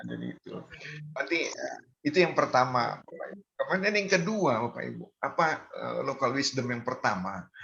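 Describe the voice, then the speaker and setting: The man's loudness swings widely as he talks at a moderate pace. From North Sumatra, Medan (Batak). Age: 60s. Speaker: community member sharing Batak culture. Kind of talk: online community gathering talk. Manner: halting, many fillers.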